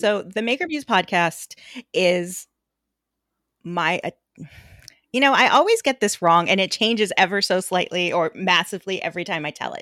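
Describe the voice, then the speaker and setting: Speaking at a moderate pace with long, frequent pauses, a woman has a medium pitch, ordinary pitch variation, and an animated, bright, sharp tone. The recording is very clean, with a silent background and a dry, close sound with no echo. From Puerto Rican background. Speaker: podcast host and photographer. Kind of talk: interview.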